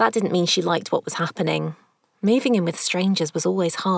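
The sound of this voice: An unforced reading voice, with ordinary pitch variation, over a quiet background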